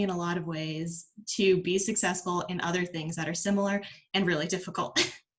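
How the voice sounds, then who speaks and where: Fairly quick speech from a woman, somewhat breathy. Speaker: former student, alumni speaker. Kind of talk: video call talk to students.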